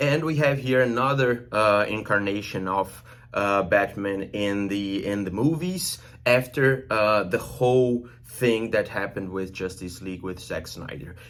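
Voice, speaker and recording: In a Brazilian accent, a man speaks at a fairly slow pace. His voice is fairly low, with lively intonation. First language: Portuguese. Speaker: film reviewer and journalist. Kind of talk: movie review. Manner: hesitant, many fillers.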